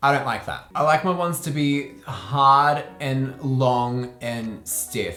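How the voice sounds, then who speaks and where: In an upbeat tone, a man speaks with an Australian accent. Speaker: makeup artist. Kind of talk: casual talk to camera. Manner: upbeat, chatty.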